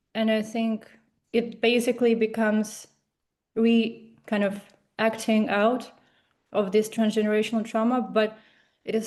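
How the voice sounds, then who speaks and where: A woman's fairly high voice with a Russian accent and a dark, mellow tone. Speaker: seminar participant. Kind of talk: seminar discussion. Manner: halting.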